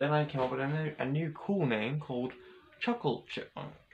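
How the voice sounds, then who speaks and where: A man with an Australian accent keeps his speech at a moderate pace. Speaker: vlogger. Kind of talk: casual vlog monologue. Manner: halting, many repetitions and fillers.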